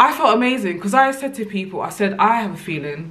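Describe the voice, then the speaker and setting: The woman talks in an animated tone. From England. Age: 30s. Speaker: YouTuber. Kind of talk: casual vlog monologue. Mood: upbeat, reflective. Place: home room.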